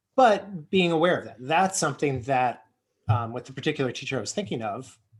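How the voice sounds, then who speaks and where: A somewhat breathy man with an American accent at a fairly quick pace, with big swings in loudness, in a very clean recording with a silent background. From United States. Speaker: early childhood educator. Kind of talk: casual chat. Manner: fast.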